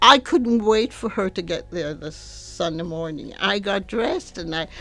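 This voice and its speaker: A woman's voice at a moderate pace, with music in the background. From Jamaica. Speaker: churchgoer. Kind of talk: testimony. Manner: halting.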